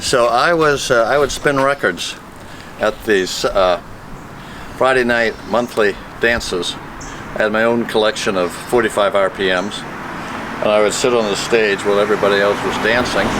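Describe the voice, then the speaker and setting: With an American accent, the speaker talks at a moderate pace with ordinary pitch variation, very even loudness and long, frequent pauses, over noticeable background noise. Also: man, medium pitch for a man. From Maine, US (Portland). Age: 70s. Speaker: retired politician. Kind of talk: reminiscing interview.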